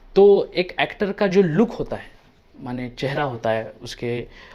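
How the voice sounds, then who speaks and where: Lively intonation carries this man's dark, mellow tone. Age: 30s. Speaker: actor and film director. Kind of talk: personal vlog monologue. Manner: hesitant, many filler sounds.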